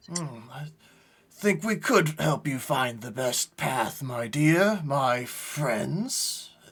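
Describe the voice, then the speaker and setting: A put-on character voice from a man, fairly high-pitched and very slow, with lively intonation. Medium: actual play. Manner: falsely courteous.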